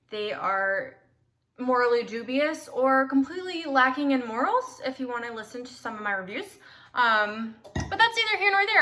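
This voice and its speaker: A woman's high-pitched, raised, projected voice with an American accent, a bright, sharp tone, lively intonation, and a moderate pace. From US South, South Carolina. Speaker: podcast host, amateur cook, author. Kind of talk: casual monologue.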